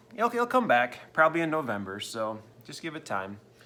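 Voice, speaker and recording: At a moderate pace, a man speaks in a bright, sharp tone with a fairly high pitch. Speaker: sports card seller and video host. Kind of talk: casual vlog update.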